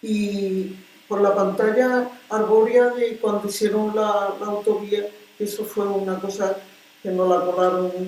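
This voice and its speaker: Amid noticeable background noise and audible room echo, a woman talks at a fairly slow pace and a medium pitch with fairly even intonation. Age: 80s+. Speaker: retired teacher and neighborhood activist. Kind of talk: interview. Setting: civic centre.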